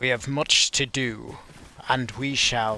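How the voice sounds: A put-on character voice in a British accent, delivered at a fairly slow pace. The intonation stays flat and monotone throughout. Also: man.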